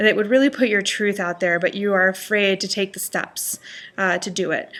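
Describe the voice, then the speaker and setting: Here a woman speaks with a bright, sharp tone. Her pace is fairly quick. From Panama. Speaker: life coach. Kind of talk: motivational vlog talk to camera.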